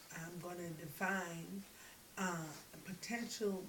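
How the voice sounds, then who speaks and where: In an American accent, a woman speaks very slowly at a medium pitch, with audible room echo and noticeable background noise. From US. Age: 40s. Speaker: graduate student. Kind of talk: class presentation. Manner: halting.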